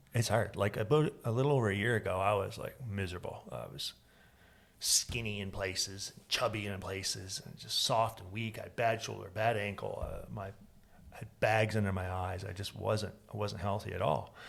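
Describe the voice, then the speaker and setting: A man with a fairly low pitch and a somewhat breathy voice talks with big swings in loudness. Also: ordinary pitch variation, moderate pace. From Florida. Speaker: podcast host. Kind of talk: casual chat.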